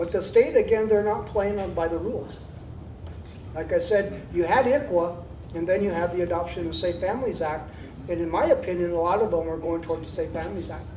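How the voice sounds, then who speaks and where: A fairly quick pace amid noticeable background noise. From Nebraska, Winnebago tribe. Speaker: Native community elder speaking at a forum. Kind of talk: panel Q&A answer. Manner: halting, with frequent fillers and repeats.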